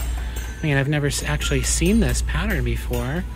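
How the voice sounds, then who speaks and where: A voice speaks in a flat, monotone way over music playing in the background. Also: man. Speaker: thrift reseller vlogger. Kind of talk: casual vlog chat. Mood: cheerful, musing. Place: shop. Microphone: phone near.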